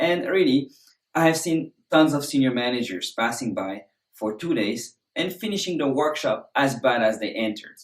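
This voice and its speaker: Speaking at a moderate pace, a man with a French accent uses lively intonation and a fairly high pitch. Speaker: presentation skills instructor. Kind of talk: course introduction.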